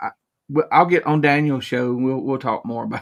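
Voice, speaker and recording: The speaker has a Southern US accent and a moderate pace. Pitch variation is ordinary. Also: man. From southern Middle Tennessee. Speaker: YouTuber guest. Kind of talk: casual chat.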